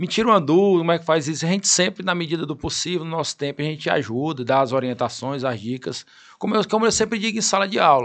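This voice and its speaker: A man's fairly high voice, lively in intonation, at a very fast pace against a quiet background. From Piauí interior, Brazil. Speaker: lawyer and law professor. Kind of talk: interview.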